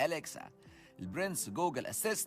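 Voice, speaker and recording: Music plays in the background as a man with an Egyptian accent speaks at a fairly high pitch. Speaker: podcast host. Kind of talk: educational podcast talk.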